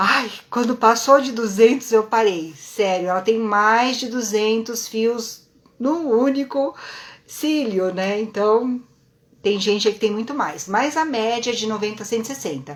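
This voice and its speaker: A woman talks at a fairly slow pace in a fairly high voice with ordinary pitch variation, a normal speaking voice. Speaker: lash and brow technician teaching online. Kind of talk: live-stream lecture. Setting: live stream.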